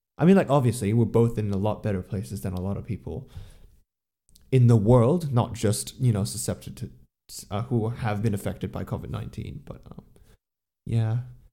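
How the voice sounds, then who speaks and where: A man with a dark, mellow tone and a medium pitch talks at a fairly quick pace, with lively intonation, vocal fry, big swings in loudness and long, frequent pauses. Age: young. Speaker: podcast co-host. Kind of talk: casual chat; talk about an artist. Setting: remote call.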